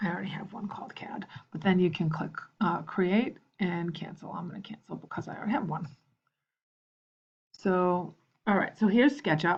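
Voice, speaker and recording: A woman speaks at a fairly quick pace and medium pitch, somewhat breathy, with ordinary pitch variation. Her loudness swings widely, and long pauses come often. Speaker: teacher. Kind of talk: tutorial. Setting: screencast. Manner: halting.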